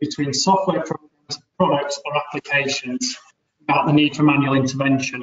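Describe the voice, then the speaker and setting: This man speaks at a fairly quick pace with a Leeds accent. His pitch is fairly high, with ordinary pitch variation. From Leeds, northern England. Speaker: business advisor. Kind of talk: webinar presentation.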